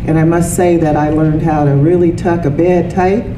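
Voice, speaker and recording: A woman with a very deep, low voice speaks over noticeable background noise. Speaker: speaker. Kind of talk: lecture. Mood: warm, light humor. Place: meeting room. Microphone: handheld.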